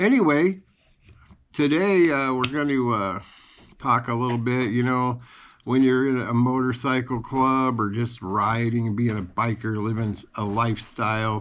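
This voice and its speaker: Over a quiet background, a man at medium pitch speaks at a fairly slow pace with long, frequent pauses. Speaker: retired biker storyteller. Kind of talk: storytelling monologue. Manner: soft-spoken; halting.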